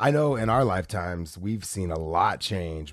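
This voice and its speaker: A man speaks in an ordinary speaking voice. His intonation is lively. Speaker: TV host and co-host. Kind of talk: casual chat.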